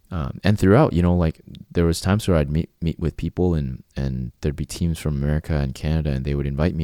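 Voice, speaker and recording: In a Cantonese accent, a man talks at a very fast pace with a very deep, low pitch. His tone is dark and mellow, and the sound is dry and close with no echo. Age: 40s. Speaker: channel host sharing life story. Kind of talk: personal monologue. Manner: halting, many repeated words.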